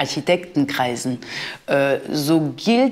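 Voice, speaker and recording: A woman talks at a very slow pace. She has a French accent. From France. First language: French (speaking German). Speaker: art history professor; professor. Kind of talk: interview; interview answer. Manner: hesitant, with fillers. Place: studio.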